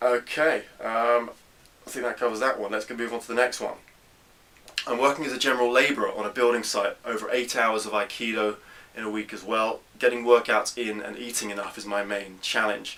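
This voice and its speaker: The speech moves at a fairly quick pace in a flat monotone, with big swings in loudness. Noticeable background noise is present. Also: man, medium pitch for a man. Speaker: fitness coach answering viewer questions. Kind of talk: Q&A tutorial.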